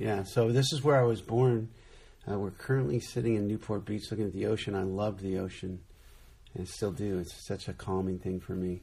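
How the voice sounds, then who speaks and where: Speaking in an American accent, a man has a fairly low pitch, a dark, mellow tone and a somewhat breathy sound. He moves at a fairly quick pace with ordinary pitch variation. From Southern California. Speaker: ministry founder. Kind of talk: casual chat. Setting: indoors by the ocean in Newport Beach.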